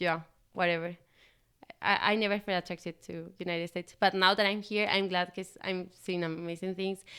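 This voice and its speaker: A woman with a bright, sharp tone speaks at a moderate pace and medium pitch in a monotone, flat way, on a very clean recording with a silent background. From Spain, Valencia. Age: 20s. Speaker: au pair. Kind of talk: interview. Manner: halting.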